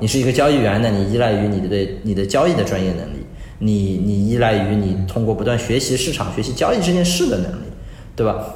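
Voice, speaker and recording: There is audible room echo and noticeable background noise as a man talks at a very fast pace. His pitch is fairly low and his intonation lively. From China, Suzhou (Jiangsu). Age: 30s. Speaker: crypto asset firm CEO. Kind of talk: interview. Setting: remote online call. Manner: halting with fillers.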